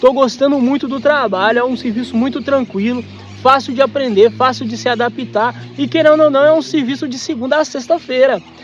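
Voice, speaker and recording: Noticeable background noise sits behind a man with an extremely high pitch. His fairly quick delivery has fairly even intonation. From Minas Gerais, Brazil. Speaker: travel vlogger. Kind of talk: casual chat.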